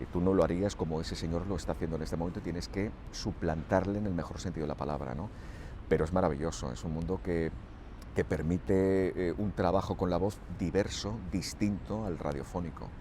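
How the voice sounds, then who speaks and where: A man speaks at a very deep, low pitch, with vocal fry. His tone is dark and mellow, with ordinary pitch variation. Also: fairly quick pace. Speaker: radio broadcaster and dubbing actor. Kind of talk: radio interview answer about his career.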